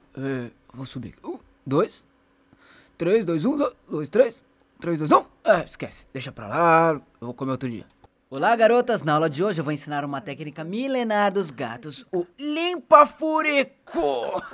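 A man's put-on character voice, high-pitched and at a moderate pace. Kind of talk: comedic animal dub. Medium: dub.

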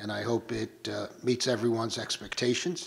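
Vocal fry runs through a man's speech. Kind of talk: formal meeting remarks. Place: hall. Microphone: podium.

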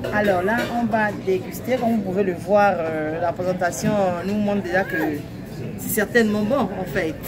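A woman at a fairly slow pace, ordinary pitch variation, crowd noise in the background. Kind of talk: casual vlog chat. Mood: cheerful, relaxed. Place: cafe.

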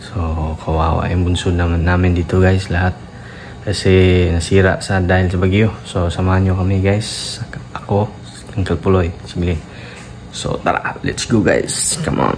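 A man speaks at a moderate pace in a very deep, low voice with fairly even intonation, over noticeable background noise. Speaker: fishing vlogger. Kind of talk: casual vlog chat. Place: home room. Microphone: phone near.

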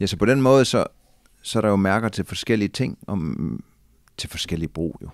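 Against a quiet background with dry sound and no echo, a man with a fairly low pitch and vocal fry talks at a moderate pace with lively intonation. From Denmark. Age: 40s. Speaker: adventurer and former soldier; podcast guest. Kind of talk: casual interview. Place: office. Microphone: studio mic.

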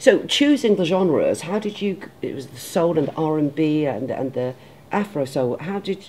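At a moderate pace, this voice has a dark, mellow tone and big pitch swings. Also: woman, low pitch for a woman.

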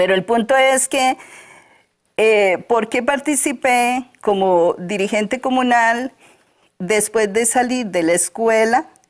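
Against a quiet background, a woman speaks at a very slow pace with very even loudness and ordinary pitch variation. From Costa Rica, Alajuela rural highlands. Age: 60s. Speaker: local author; interview guest. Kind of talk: interview. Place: studio. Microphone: lapel.

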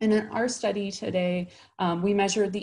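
Speaking at a fairly quick pace with an American accent, a woman sounds somewhat breathy against a quiet background. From Chicago, US Midwest. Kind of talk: conference talk. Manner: frequent filler words (um, uh). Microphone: webcam.

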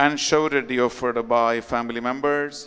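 A man speaks at a medium pitch against a quiet background. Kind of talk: fervent sermon with repeated exhortations to confess sins. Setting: online Mass, recorded. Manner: emphatic, pleading, repetitive; animated, urgent. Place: church. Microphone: podium.

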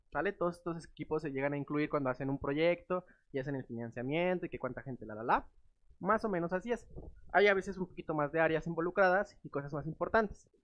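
At a very fast pace, a man speaks at a fairly high pitch with ordinary pitch variation. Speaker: tech speaker. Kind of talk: conference talk. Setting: stage with audience. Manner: casual, joking. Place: meeting room.

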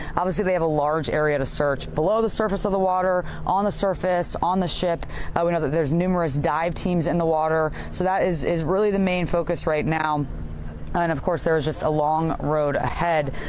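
A woman with a fairly low pitch speaks at a fairly quick pace with fairly even intonation and very even loudness, the sound dry with no echo and light noise behind her. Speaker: TV news field reporter. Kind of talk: live news report. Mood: serious, somber. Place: waterside.

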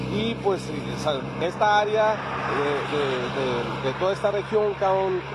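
Over loud background noise, a man speaks at a very slow pace in a dry sound with no echo. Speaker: motorcycle travel vlogger. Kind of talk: casual vlog chat. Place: street. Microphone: phone near.

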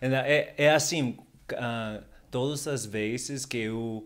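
This is a man speaking with a Spanish accent. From Canary Islands, Spain. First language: Spanish (speaking Portuguese). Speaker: language learner; podcast guest. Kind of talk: casual chat. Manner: halting. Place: home room. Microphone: studio mic.

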